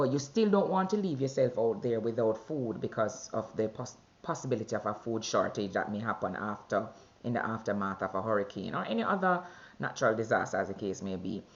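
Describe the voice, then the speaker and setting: A woman's very deep, low voice with a Jamaican accent, lively intonation and a fairly quick pace. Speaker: vlogger sharing weight-loss journey. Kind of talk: personal video diary. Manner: conversational with fillers.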